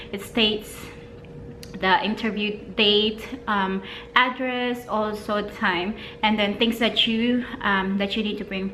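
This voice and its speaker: Over noticeable background noise, a woman speaks very slowly with long, frequent pauses. Her fairly high voice stays monotone and flat. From Philippines. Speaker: vlogger and mother. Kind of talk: casual talk to camera.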